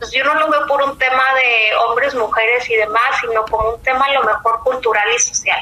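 With noticeable background noise behind her, a woman talks at a moderate pace and a high pitch, with fairly even intonation and hardly any pauses. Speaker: business professional. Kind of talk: interview. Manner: halting.

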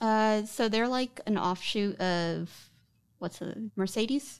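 A normal speaking voice from a woman, medium in pitch and ordinary in pitch variation. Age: 30s. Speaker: guest seeking financial advice. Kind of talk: casual interview about finances.

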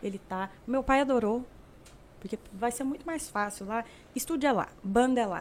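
With ordinary pitch variation, a woman talks at a moderate pace and a high pitch. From Brazil, Uberlândia, Minas Gerais. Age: 20s. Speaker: singer. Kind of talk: casual chat.

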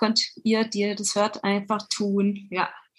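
A woman's voice with a bright, sharp tone. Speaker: musician and chanson singer. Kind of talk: casual interview. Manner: hesitant with many fillers.

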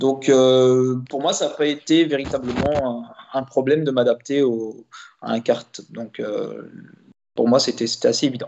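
A man speaks at a medium pitch and a fairly slow pace. Long pauses come often. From Belgium, Liège region. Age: 30s. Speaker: racing driver. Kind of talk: interview. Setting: live stream. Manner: halting.

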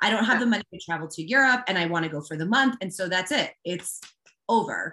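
Speaking very fast, a woman uses a bright, sharp tone at a medium pitch with lively intonation. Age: 40s. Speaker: life coach. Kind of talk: interview. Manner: halting.

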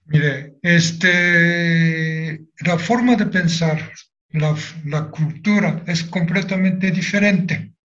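Delivered at a very slow pace with fairly even intonation, the speech carries audible room echo. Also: man, high pitch for a man. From Japan, Nagasaki. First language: Japanese (speaking Spanish). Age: 80s+. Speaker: atomic bomb survivor. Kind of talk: testimony.

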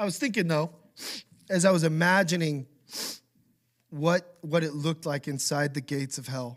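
A man with an American accent and a fairly high pitch, speaking at a moderate pace with ordinary pitch variation and long, frequent pauses, on a very clean recording with a silent background. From Idaho, US. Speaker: pastor. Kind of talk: sermon.

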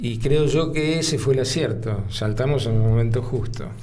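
Someone with a Rioplatense accent talks at a moderate pace with ordinary pitch variation, amid audible room echo and noticeable background noise. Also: man. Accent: Argentine Rioplatense Spanish. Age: 70s. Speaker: lawyer and former politician. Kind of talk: interview conversation. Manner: halting, many fillers; measured, formal.

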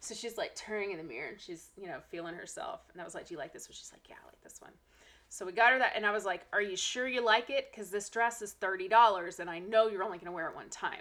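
A woman speaks very fast at a medium pitch, with a bright, sharp tone, ordinary pitch variation and big swings in loudness. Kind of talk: casual chat.

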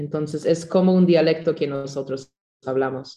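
A woman speaks with fairly even intonation in a fairly low pitch. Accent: German. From Canada, Mennonite community; Bolivia from age 11. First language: German (speaking Spanish). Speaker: student in a church language course. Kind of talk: class introduction. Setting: video call.

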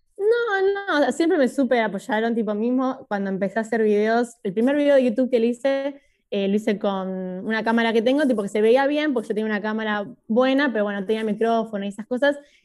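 In a normal speaking voice, a woman talks at a fairly quick pace with hardly any pauses and a fairly high pitch with ordinary variation, in a very clean recording with a silent background. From Buenos Aires, Argentina. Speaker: YouTuber. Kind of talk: casual interview.

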